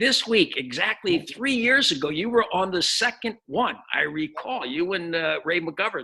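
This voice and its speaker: Raised and projected, a man's voice carries a bright, sharp tone. He has an American accent and a moderate pace. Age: 60s. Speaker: podcast host. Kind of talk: casual interview chat.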